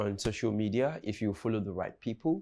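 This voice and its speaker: A man's dark, mellow tone at a moderate pace, on a very clean recording with a silent background. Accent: Nigerian. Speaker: comedian. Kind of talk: casual chat. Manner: halting, repeats words.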